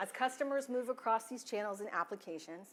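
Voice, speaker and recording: Lively intonation marks this woman's speech, delivered with a Texas accent. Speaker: IT security and compliance officer. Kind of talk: conference talk.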